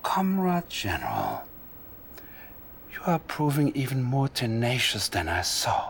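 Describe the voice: A man puts on a character voice at a slow pace, his pitch swinging very widely. The tone is fairly bright, with faint background noise. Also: medium pitch for a man.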